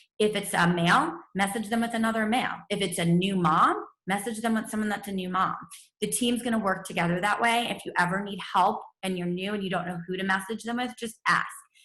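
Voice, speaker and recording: This woman's voice sits at a medium pitch, moving at a fairly quick pace. Audible room echo surrounds it. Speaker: network marketing team leader. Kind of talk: training webinar. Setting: video call with screen share. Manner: fast; animated.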